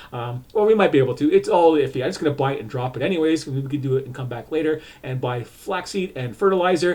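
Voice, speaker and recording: A man speaks at a very fast pace with hardly any pauses. His somewhat breathy voice shows ordinary pitch variation and big swings in loudness. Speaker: video game streamer. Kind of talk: gameplay walkthrough commentary. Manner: halting, many fillers.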